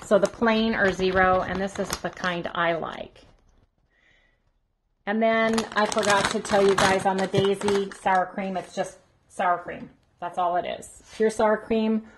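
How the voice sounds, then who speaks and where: Long, frequent pauses break up monotone, flat speech at a fairly slow pace, with noticeable background noise. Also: woman. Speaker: home vlogger. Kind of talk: casual vlog chat. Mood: relaxed, friendly. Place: kitchen. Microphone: phone near.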